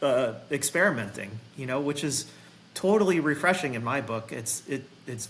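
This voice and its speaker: A man speaks at a moderate pace with a fairly high pitch and lively intonation over noticeable background noise. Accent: American. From Massachusetts, US. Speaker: golf professional and vintage equipment business owner. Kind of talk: casual chat.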